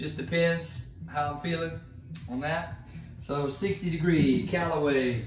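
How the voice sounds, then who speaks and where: Speaking fairly slowly with an American accent, a man with a fairly high pitch is heard through audible room echo and noticeable background noise. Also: ordinary pitch variation. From Georgia, US South. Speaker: golf YouTuber. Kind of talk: casual equipment tutorial. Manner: casual, chatty.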